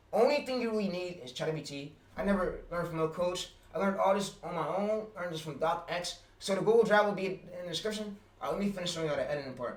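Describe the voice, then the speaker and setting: A man talks at a very fast pace in a high voice, with ordinary pitch variation and audible room echo. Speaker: YouTube automation streamer. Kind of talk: livestream tutorial. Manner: halting, many fillers.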